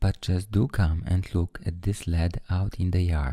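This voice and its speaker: Soft-spoken and somewhat breathy, this voice has a dark, mellow tone. It sounds soothing and moves at a fairly slow pace. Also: man. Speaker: storyteller. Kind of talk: bedtime story reading. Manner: soothing, soft.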